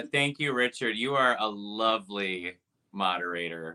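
Here a man talks with a Midwestern American accent. His voice is fairly low and his pace moderate. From Wisconsin, US Midwest. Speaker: pianist and Liberace tribute artist. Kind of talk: casual interview chat.

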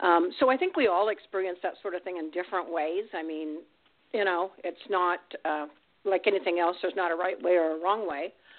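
With an ordinary speaking voice, a woman talks at a fairly quick pace and a fairly low pitch. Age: 60s. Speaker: grandmother. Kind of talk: casual chat.

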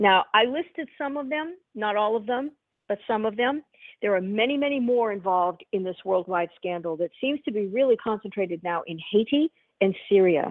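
This woman has a plain, everyday voice with a fairly high pitch. She speaks at a moderate pace with lively intonation. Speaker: radio host. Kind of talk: serious discussion of politics.

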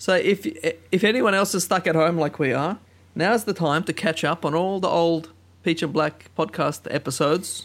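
The voice moves at a moderate pace with ordinary pitch variation and very even loudness. The recording is very clean with a silent background. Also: man, high pitch for a man. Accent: Australian. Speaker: podcast host. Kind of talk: casual chat.

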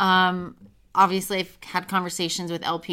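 On a very clean recording with total background silence, a woman talks in a bright, sharp tone. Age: 20s. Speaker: former pro golfer and sports journalist. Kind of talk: interview. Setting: studio.

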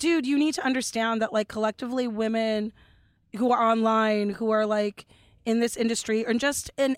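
With a Californian accent, a woman speaks at a fairly high pitch with fairly even intonation in a dry, close sound with no echo. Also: very clean recording, silent background. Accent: Californian American. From Los Angeles, Dominican family. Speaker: comedian. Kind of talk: casual chat.

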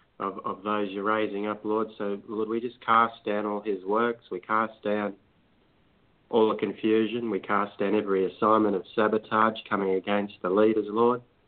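Fairly low male voice in a flat monotone. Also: moderate pace. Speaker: prayer participant. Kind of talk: intercessory prayer. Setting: phone call. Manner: halting.

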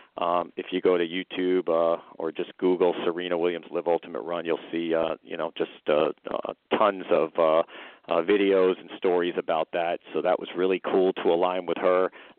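A man speaks at a moderate pace in a very deep, low voice with flat, monotone intonation. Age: 50s. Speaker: company founder, attorney and wealth planner. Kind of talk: casual interview, product pitch. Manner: halting, filler-heavy.

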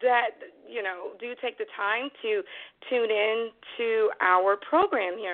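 A woman's fairly high voice at a very slow pace with ordinary pitch variation. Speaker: internet radio host. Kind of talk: radio show opening. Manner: casual, warm.

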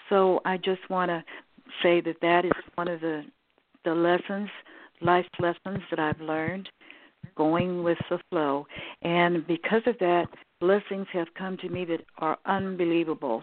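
Pausing long and often, a woman speaks at a fairly slow pace in a fairly low voice with fairly even intonation. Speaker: caller.

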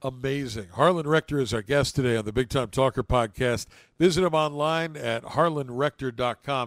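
A man with an American accent speaks in an ordinary speaking voice at a moderate pace and medium pitch with ordinary pitch variation, recorded very cleanly against a silent background with a dry, close sound and no echo. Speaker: podcast host. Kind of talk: interview conversation.

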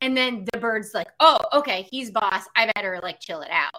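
Her tone bright and sharp, a woman speaks with a fairly high pitch at a moderate pace. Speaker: pet psychic and animal communicator. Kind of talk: casual chat. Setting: live video stream.

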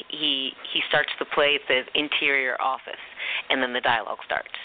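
A speaker with an American accent talks over noticeable background noise. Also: woman. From US East Coast, Philadelphia and Charleston. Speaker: actor. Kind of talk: archived radio interview.

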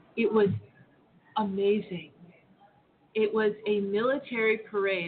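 A woman of medium pitch with fairly even intonation and long, frequent pauses, amid noticeable background noise. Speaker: former government lawyer. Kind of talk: panel discussion.

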